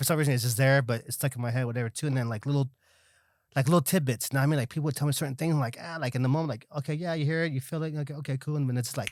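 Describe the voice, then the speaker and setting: A man with an American accent speaks very fast at a fairly high pitch, his intonation fairly even. The recording is very clean, with a silent background. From Los Angeles area, Salvadoran family. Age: 40s. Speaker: community activist. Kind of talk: casual interview chat. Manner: mumbling.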